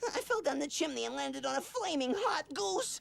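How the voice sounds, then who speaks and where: A put-on character voice, high-pitched and fairly quick, plays over light background noise. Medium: short film.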